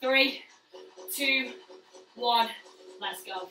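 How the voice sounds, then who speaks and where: Over clear background music and audible room echo, a woman uses a raised, projected voice at a very slow pace. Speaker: fitness instructor. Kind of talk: workout instruction. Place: gym. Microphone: camera far.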